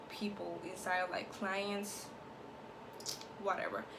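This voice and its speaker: A woman's medium-pitched, monotone voice with a Spanish accent, fairly slow, amid noticeable background noise and audible room echo. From Latin America. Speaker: YouTuber. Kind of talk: TV show review vlog. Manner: casual, filler-heavy.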